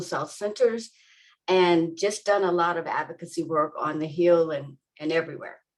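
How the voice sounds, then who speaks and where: A woman with an unremarkable speaking voice talks at a fairly low pitch and moderate pace, her intonation fairly even. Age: 60s. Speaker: patient advocate. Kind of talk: panel introduction.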